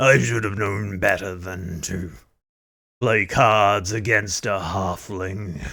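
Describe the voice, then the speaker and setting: In a put-on character voice, a man growls out his words, gruff and raspy, at a fairly low pitch and a very slow pace, on a very clean recording with a silent background. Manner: grumbling, begrudging.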